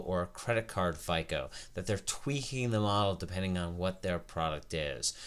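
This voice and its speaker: On a very clean recording with a silent background, a man uses an ordinary speaking voice at a fairly low pitch, with ordinary pitch variation and a moderate pace. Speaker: credit educator. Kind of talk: tutorial.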